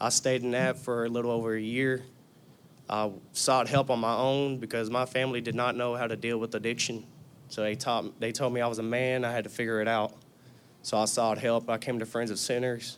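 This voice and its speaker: Speaking in a Southern US accent, a man keeps a medium pitch and a monotone, flat intonation. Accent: US South. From Tennessee. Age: 20s. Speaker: recovering addict. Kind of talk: testimony. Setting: church.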